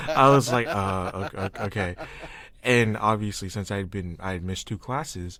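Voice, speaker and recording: A normal speaking voice goes at a fairly quick pace, recorded very cleanly against a silent background. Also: man. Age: 20s. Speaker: podcast host. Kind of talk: casual chat.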